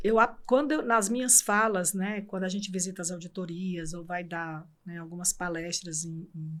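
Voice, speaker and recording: A woman is speaking. Her pace is fairly slow. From Brazil, Ceará (Fortaleza). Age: 60s. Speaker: court administrator. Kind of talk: interview.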